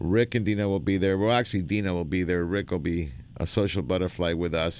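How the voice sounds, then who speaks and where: A man speaks at a moderate pace. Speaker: radio host. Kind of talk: live radio show hosting. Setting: radio studio broadcast. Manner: jokey, chatty, animated.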